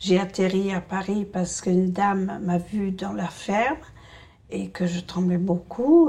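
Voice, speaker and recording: Fairly slow pace from a woman with a medium pitch. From rural France. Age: 60s. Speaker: essential tremor patient. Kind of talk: testimony. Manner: hesitant, many fillers.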